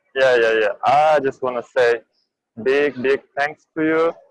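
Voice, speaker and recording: In a dry, close sound with no echo, a man with a non-native accent speaks at a medium pitch and a fairly slow pace, with fairly even intonation. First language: not English. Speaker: student trader. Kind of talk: thank-you feedback. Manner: halting.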